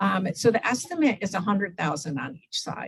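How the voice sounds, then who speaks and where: A woman's somewhat breathy voice with very wide pitch swings. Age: 60s. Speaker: humanitarian aid volunteer. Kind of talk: Q&A after a club talk. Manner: conversational, with fillers.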